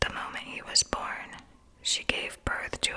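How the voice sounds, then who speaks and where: Noticeable background noise under a slow-ish, fairly slow whisper. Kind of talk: ASMR whispered Bible reading. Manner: whispered.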